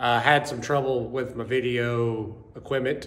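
The man speaks with fairly even intonation. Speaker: off-road channel host. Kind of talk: casual vlog chat. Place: garage. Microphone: phone near.

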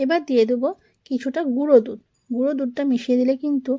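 A dark, mellow tone from a woman pitched high. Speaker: cooking channel host. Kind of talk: cooking tutorial.

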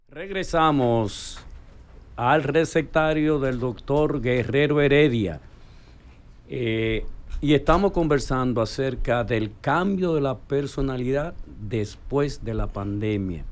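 Lively in intonation and medium in pitch, a man speaks at a very slow pace. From Dominican Republic. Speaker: radio show host. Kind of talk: radio talk show. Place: studio. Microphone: studio mic.

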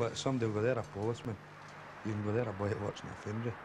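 In a west of Scotland accent, a man speaks very fast with flat, monotone intonation. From Scotland, Kirkintilloch. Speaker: foundry worker. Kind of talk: documentary interview.

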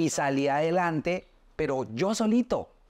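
A man with lively intonation at a fairly slow pace, against a quiet background. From Colombia, Soacha near Bogotá; Colombia. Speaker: social media specialist and interviewer; interviewer. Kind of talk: casual interview. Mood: earnest, personal storytelling. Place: studio.

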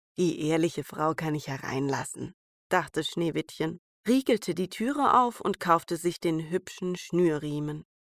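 A plain, everyday voice comes through at a fairly slow pace in a very clean recording with a silent background and a dry, close sound with no echo. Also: woman, fairly low pitch for a woman, ordinary pitch variation. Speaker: fairy tale narrator. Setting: home recording, rain outside. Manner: calm, soothing, storytelling pace with character voices.

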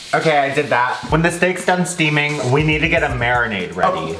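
A man keeps a moderate pace while noticeable noise sits in the background. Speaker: home cook vlogger. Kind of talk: casual vlog chat. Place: kitchen. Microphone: camera far.

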